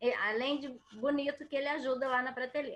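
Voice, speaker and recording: A woman with a rural Brazilian accent uses a raised, projected voice at high pitch. Her tone is bright and sharp, and her pace is moderate. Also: quiet background. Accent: Brazilian countryside (interior). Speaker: water quality consultant, speaker. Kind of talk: lecture.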